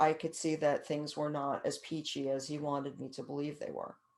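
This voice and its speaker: With an American accent, a woman speaks at a very deep, low pitch against a quiet background. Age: 60s. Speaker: author and caregiving speaker. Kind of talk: interview. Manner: halting, many repeated words.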